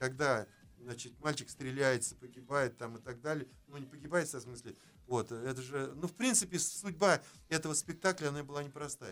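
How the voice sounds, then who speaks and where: An unremarkable speaking voice moves at a moderate pace with ordinary pitch variation. The loudness swings widely. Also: man, fairly high pitch for a man. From Orenburg region, Russia. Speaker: theatre director. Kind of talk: radio interview. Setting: radio studio.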